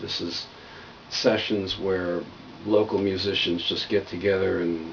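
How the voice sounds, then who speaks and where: Speaking at a fairly slow pace, a man with a fairly low pitch is heard over noticeable background noise. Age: 60s. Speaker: video blogger on health and healing. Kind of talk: casual monologue. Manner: conversational.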